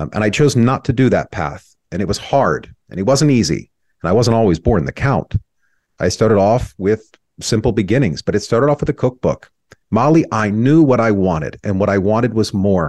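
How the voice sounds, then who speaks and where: A plain, everyday voice: a man with an American accent, fairly low pitch, lively intonation and a moderate pace. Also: dry, close sound with no echo. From southern California (Rainbow, near Temecula). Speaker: entrepreneur and media founder. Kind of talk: interview, personal life story.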